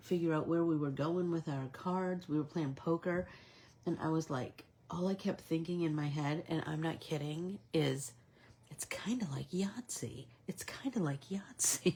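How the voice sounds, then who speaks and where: A woman speaks with an American accent at a fairly low pitch. Her tone is dark, mellow and somewhat breathy. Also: ordinary pitch variation, fairly slow pace. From Michigan. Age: 60s. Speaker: art instructor. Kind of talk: live coloring tutorial with casual chat. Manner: animated.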